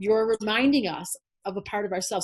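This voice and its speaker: Animated and somewhat breathy, a woman with an American accent speaks very fast at a fairly high pitch with ordinary pitch variation. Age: 60s. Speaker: astrologer. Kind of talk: interview.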